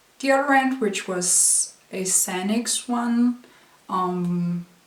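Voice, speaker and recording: A woman is speaking. Noticeable background noise runs under her voice. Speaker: university student. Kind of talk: casual product review to camera.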